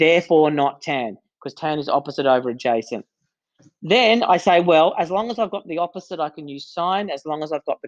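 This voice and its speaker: Fairly quick pace against a quiet background. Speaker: maths teacher. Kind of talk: lecture. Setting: recorded lesson for students.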